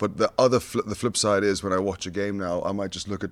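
In a very clean recording with a silent background, a man with a Scottish accent talks at a very fast pace in a fairly low, monotone, flat voice. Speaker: rugby assistant coach, former player. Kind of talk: casual interview chat. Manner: passionate.

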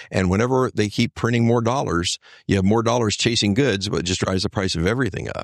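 A man with a fairly low pitch talks at a very fast pace in a dry, close sound with no echo. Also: ordinary pitch variation. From Texas, Houston area. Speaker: lawyer and political candidate. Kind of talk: interview. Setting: studio.

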